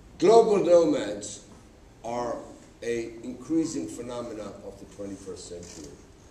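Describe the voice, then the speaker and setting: With big swings in loudness, a man talks at a moderate pace amid audible room echo. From Uganda. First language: Gujarati. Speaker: public speaker, writer. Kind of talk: conference talk. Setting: stage with audience.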